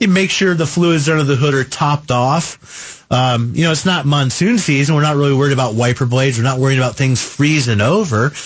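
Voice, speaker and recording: Over noticeable background noise, a man with a fairly high voice talks at a fairly quick pace with hardly any pauses, very even loudness and ordinary pitch variation. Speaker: radio car show host. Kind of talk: call-in radio show. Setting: radio studio.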